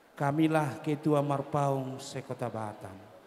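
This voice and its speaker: Noticeable background noise sits behind a man speaking at a very slow pace. His fairly high-pitched voice has monotone, flat intonation. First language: Batak Toba (speaking Indonesian). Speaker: clan association leader at wedding. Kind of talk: ceremonial speech.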